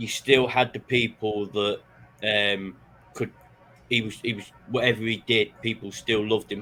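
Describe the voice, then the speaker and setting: A man at a moderate pace, fairly low pitch and monotone, flat intonation, with music in the background. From northern England, Manchester. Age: 30s. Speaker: podcaster. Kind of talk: casual interview chat.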